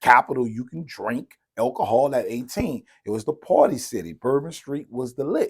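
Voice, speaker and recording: A man with an American accent speaks at a moderate pace in a medium pitch, the sound dry and close with no echo. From US South, New Orleans. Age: 40s. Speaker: interviewee, local entrepreneur. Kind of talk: casual interview.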